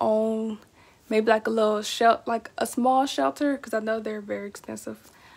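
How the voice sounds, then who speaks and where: Speaking in an American accent, the voice moves at a fairly quick pace. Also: woman. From Texas. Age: 20s. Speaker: pet YouTuber. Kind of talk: casual vlog monologue. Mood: relaxed, chatty. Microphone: phone near.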